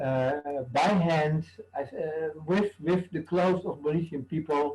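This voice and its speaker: This man's voice sits fairly high. There is a somewhat breathy quality to it. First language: not English. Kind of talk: panel discussion. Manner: halting.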